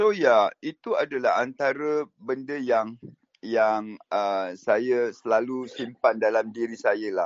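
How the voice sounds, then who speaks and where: The man's medium pitch, which shifts in an ordinary way, comes at a very slow pace. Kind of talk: casual chat. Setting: video call.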